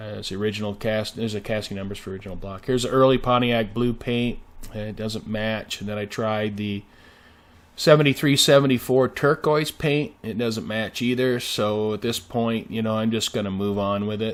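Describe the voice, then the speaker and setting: A man talks at a fairly quick pace in a plain, everyday voice with fairly even intonation, on a very clean recording with a silent background. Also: medium pitch for a man. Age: 60s. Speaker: car restoration hobbyist. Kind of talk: video narration. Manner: casual, many fillers.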